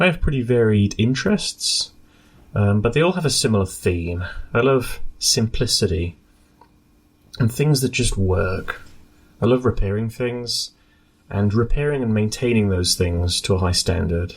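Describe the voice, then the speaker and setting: Using a British accent, a man speaks at medium pitch and a moderate pace, somewhat breathy, with lively intonation, very even loudness and long, frequent pauses. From UK. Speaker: scientist and radio amateur board member. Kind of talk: prepared statement for radio news broadcast.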